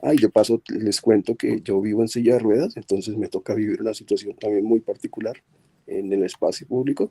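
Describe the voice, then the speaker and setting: Fairly quick male speech, dry and close with no echo. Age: 60s. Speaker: audience member. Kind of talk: question from audience. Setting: video call.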